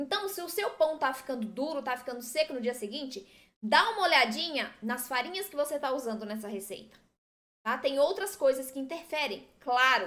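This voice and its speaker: A woman speaks in a high, bright, sharp voice with an animated tone and lively intonation. Her loudness swings widely while she keeps a moderate pace. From southern Brazil. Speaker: gluten-free baking teacher. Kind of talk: live-stream tutorial.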